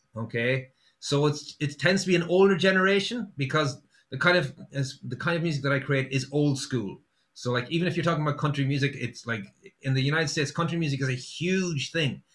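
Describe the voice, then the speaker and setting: A man with an Irish accent at a fairly quick pace. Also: ordinary pitch variation. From Ireland, Sligo. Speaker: singer-songwriter. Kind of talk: casual chat. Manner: halting.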